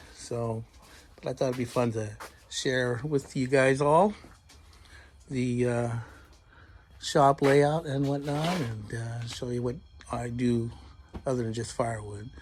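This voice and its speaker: With long, frequent pauses, a man speaks in a somewhat breathy voice at a medium pitch with ordinary pitch variation. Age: 60s. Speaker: woodworker and firewood maker. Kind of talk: casual shop tour. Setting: home workshop.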